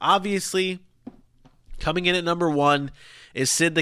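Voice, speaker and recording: The man's voice has a bright, sharp tone. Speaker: sports podcast host. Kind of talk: casual solo podcast talk. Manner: fast; animated.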